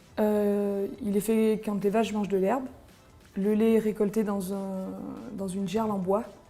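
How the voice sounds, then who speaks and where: A woman speaks in a monotone, flat intonation, leaving long, frequent pauses. Music plays in the background. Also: medium pitch for a woman, fairly slow pace. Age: 30s. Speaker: farmer and cheesemaker. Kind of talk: interview explanation. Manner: hesitant, frequent fillers.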